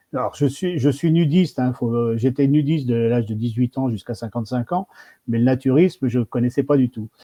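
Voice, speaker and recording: A man talks with fairly even intonation in an ordinary speaking voice. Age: 60s. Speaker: federation president. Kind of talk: live stream interview.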